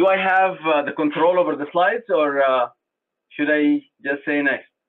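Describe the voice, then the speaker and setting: A man with a non-native accent. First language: not English. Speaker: transplant surgeon. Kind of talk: conference presentation.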